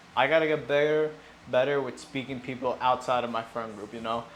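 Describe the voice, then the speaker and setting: A man of medium pitch speaks with fairly even intonation, and room echo is audible. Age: 20s. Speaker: fitness vlogger. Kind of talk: casual gym vlog. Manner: mumbling.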